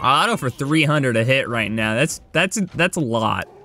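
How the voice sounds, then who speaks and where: The tone is bright and sharp, the pace moderate, and the sound dry with no echo. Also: man. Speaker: gaming YouTuber. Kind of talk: gameplay commentary. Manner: animated; calmer than usual. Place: home room. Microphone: headset.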